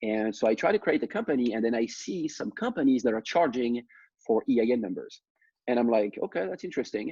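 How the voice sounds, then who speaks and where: A man with a French accent, medium-pitched with a dark, mellow tone, talking at a very fast pace with lively intonation in a dry, close sound with no echo against a quiet background. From France. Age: 30s. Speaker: startup founder. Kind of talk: personal story talk.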